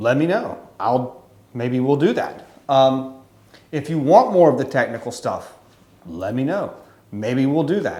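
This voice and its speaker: This man talks at a fairly slow pace with an American accent, leaving long, frequent pauses, his medium-pitched voice dark and mellow. His intonation is lively, and audible room echo surrounds it. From Louisiana, US South. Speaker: photographer and YouTuber. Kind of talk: casual to-camera monologue. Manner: wordy, rambling with fillers.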